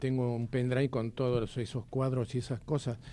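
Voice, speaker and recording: Dark and mellow in tone, a man's medium-pitched voice moves at a moderate pace. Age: 80s+. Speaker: retired air force officer and war veteran. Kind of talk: radio interview, personal testimony.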